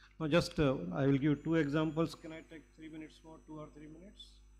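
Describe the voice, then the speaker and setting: A fairly high-pitched man at a very fast pace. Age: 70s. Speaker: cardiac anesthesiologist. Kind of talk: medical conference lecture.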